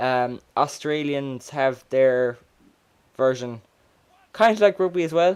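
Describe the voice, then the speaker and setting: A man with an Irish accent speaks at a very slow pace, his pitch fairly high. His intonation is lively, broken by long, frequent pauses. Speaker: gamer. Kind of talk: casual gameplay commentary. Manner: stuttering.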